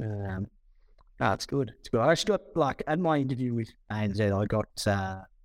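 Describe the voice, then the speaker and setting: A man's medium-pitched voice at a moderate pace, with lively intonation, on a very clean recording against a silent background. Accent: Australian. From New South Wales Southern Highlands, Australia. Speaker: former livestock marketing worker, podcast co-host. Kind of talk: casual chat.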